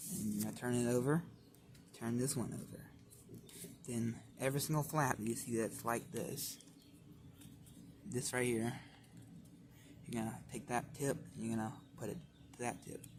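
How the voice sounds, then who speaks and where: Vocal fry runs through a man's medium-pitched voice. He shows ordinary pitch variation and leaves long, frequent pauses. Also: moderate pace. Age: young. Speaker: origami tutorial maker. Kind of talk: tutorial. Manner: casual.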